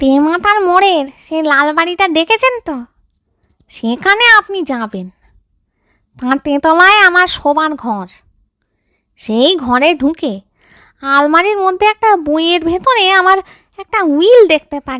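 A woman uses a put-on character voice pitched extremely high. She speaks at a fairly slow pace. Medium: read story. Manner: courteous, coaxing.

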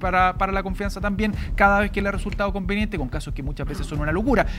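Over light background noise, a man talks at a very fast pace with a high pitch. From Chile. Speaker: political panelist; panelist. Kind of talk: panel debate. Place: studio. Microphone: lapel.

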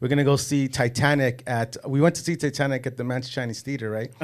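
Someone with an American accent talks at a very fast pace with fairly even intonation against a quiet background. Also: man. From Los Angeles area. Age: 40s. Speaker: casting and extras agency owner, former gang member; podcast guest. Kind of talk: casual interview. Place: studio. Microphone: studio mic.

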